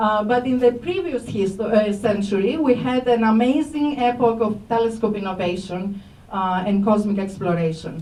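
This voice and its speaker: In a Greek accent, a woman speaks at a moderate pace and a fairly high pitch with ordinary pitch variation, amid audible room echo and noticeable background noise. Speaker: astrophysics professor. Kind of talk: public lecture. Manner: hesitant, many fillers.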